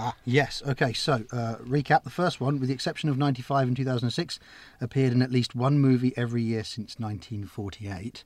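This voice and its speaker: A man with an ordinary speaking voice, medium pitch and ordinary pitch variation, at a moderate pace, in a very clean recording with a silent background. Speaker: co-host film fan. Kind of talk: casual chat.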